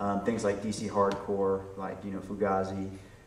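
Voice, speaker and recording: A man with fairly low pitch speaks in a monotone, flat intonation at a moderate pace, with audible room echo and noticeable background noise. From Virginia, US. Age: 40s. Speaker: record producer and audio engineer. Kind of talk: interview. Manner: hesitant, many fillers.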